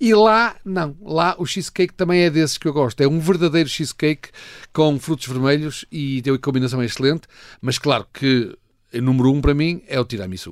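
On a very clean recording with a silent background, a man with a fairly high pitch talks at a fairly quick pace with lively intonation. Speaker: food critic. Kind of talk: casual chat. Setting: studio.

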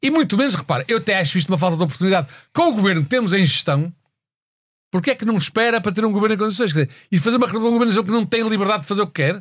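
A man with a high pitch talks at a very fast pace in a very clean recording with a silent background. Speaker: political satire panelist. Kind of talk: casual chat.

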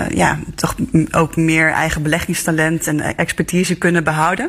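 Behind this woman's voice, noticeable background noise is present. She speaks at a fairly slow pace. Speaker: newspaper journalist. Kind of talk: news discussion.

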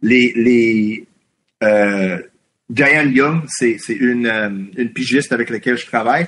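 The voice belongs to a man. It has a medium pitch. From Quebec (anglophone community). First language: English (speaking French). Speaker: independent journalist. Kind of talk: interview. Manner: halting.

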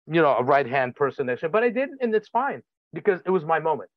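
With a Russian accent, a man speaks in lively intonation. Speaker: film director and photographer. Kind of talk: casual chat.

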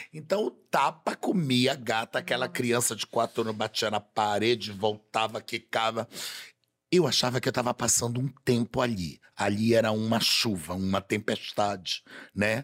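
Recorded very cleanly against a silent background with a dry, close sound and no echo, a man speaks at a moderate pace with medium pitch and ordinary pitch variation in an unremarkable speaking voice. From Belém, Pará, Brazil. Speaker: carnival designer and TV personality. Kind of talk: casual chat. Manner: flamboyant, theatrical.

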